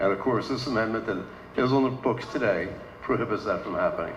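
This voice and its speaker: There is audible room echo and noticeable background noise behind this man's voice. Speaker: village council member and candidate. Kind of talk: candidate forum speech. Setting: condominium meeting room with audience. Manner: loud.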